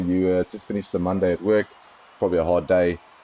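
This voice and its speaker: The speech moves at a very fast pace. It carries a South African accent. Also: man. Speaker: sim racing commentator. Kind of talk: live commentary.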